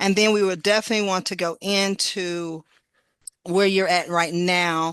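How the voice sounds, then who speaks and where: A woman with a plain, everyday voice speaks at a moderate pace with fairly even intonation against a quiet background. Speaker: podcast host. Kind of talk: casual talk show host.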